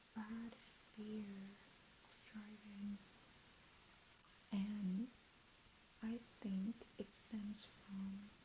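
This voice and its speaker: A soft-spoken woman whispers in a somewhat breathy voice at a very slow pace, with long, frequent pauses. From Jamaica. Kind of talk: ASMR chit chat, reintroduction. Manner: soft whispered.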